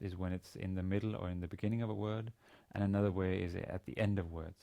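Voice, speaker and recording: On a very clean recording with a silent background, a man with a Danish accent speaks at a moderate pace in a very deep, low, dark, mellow voice with monotone, flat intonation. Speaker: university teacher. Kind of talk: lecture. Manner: halting, many fillers and repetitions.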